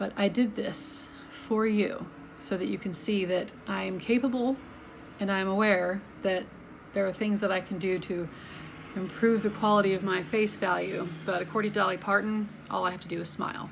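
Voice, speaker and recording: A voice with an American accent speaks with ordinary pitch variation. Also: woman, medium pitch for a woman, moderate pace. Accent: slight Southern US accent, evened out. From US South, Atlanta, Georgia (Alpharetta). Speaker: health vlogger. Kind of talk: casual talk to camera. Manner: conversational, with many fillers.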